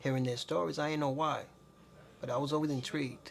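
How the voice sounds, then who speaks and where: Noticeable background noise accompanies a man who talks very fast. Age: 40s. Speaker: entrepreneur. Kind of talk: casual interview.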